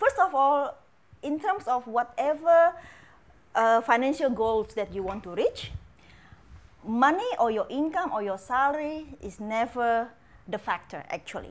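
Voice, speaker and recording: In an Indonesian accent, a woman speaks at a high pitch and a fairly slow pace, with very wide pitch swings and long, frequent pauses. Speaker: financial educator. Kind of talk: casual interview. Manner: halting, searching for words.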